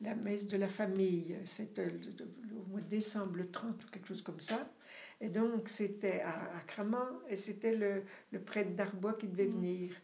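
Fairly slow speech with fairly even intonation, audible room echo and noticeable background noise. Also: woman, medium pitch for a woman. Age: 70s. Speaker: parishioner. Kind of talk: casual chat. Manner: halting.

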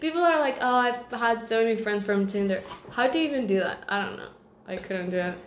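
A woman with a fairly high pitch speaks fairly quickly, her intonation lively, against noticeable background noise. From Mexico, San Luis Potosí. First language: Spanish. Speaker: podcast host. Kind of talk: casual chat.

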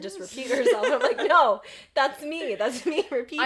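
Noticeable background noise sits behind a woman talking at a very fast pace. Her pitch varies in an ordinary way. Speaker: podcast co-host.

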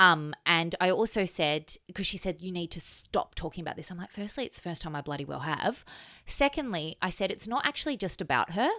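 In an Australian accent, a woman with a medium pitch and a bright, sharp tone speaks fairly quickly with lively intonation and big swings in loudness. The recording is very clean, with a silent background. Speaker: podcast host, mother. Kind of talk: casual chat.

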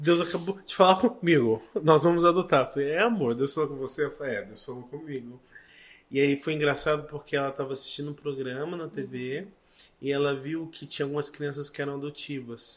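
An unremarkable speaking voice, a man's fairly high pitch shows ordinary variation as he goes at a fairly quick pace with big swings in loudness. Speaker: missionary and adoptive father. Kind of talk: testimony.

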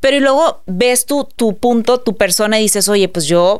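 The speaker uses a normal speaking voice at a moderate pace. The intonation is lively. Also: woman. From Mexico, Monterrey. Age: 30s. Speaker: entrepreneur and influencer. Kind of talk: casual interview chat.

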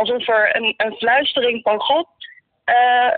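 A high-pitched woman at a very slow pace, with ordinary pitch variation. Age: 20s. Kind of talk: faith testimony interview.

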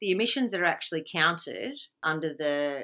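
A woman with an Australian accent speaks in a bright, sharp tone. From Victoria, Australia. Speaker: environmental activist. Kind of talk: interview.

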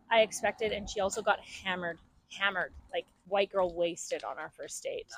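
A woman with a plain, everyday voice, medium in pitch and fairly quick, her loudness swinging widely, in a dry, close sound with no echo. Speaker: interviewee. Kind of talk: casual chat.

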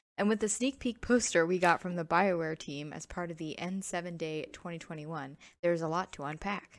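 Speaking at a fairly quick pace, a woman uses an unremarkable speaking voice of fairly low pitch, with ordinary pitch variation and big swings in loudness. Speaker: podcast host. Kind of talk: casual chat.

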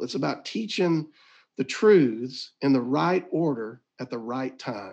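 A man with a Southern US accent talks with very wide pitch swings. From Mississippi. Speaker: ministry director. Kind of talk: casual interview. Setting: video call.

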